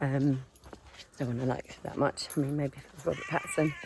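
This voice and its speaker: A woman speaks quietly at a moderate pace with a southern English accent. Noticeable background noise runs behind her. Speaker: vlogger. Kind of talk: casual vlog talk to camera. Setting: outdoors on a dog walk.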